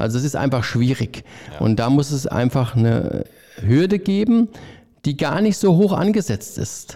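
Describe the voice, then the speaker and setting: With a dark, mellow tone, a man talks at a moderate pace in a fairly high pitch, his voice making very wide pitch swings. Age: 50s. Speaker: head chef. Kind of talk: casual interview chat.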